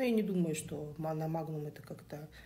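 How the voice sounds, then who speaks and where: Somewhat breathy, a woman speaks at a fairly quick pace with a dark, mellow tone, a fairly low pitch and ordinary pitch variation. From Kazakhstan. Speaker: social media commenter. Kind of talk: opinion monologue.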